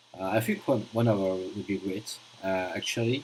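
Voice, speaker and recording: A man speaks at a fairly slow pace with a strong French accent. Noticeable background noise is present. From France. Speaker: gaming streamer. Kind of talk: live stream commentary. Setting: live stream. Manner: halting, many fillers.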